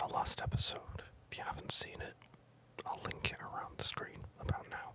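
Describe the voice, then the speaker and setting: Over noticeable background noise comes whispering at a moderate pace. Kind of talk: whispered gameplay commentary. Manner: whispered.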